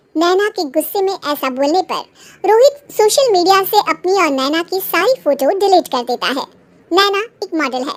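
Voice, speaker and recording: A woman's cartoonish character voice at an extremely high pitch and moderate pace, dry and close with no echo. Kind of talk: bedtime story narration. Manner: steady, explanatory.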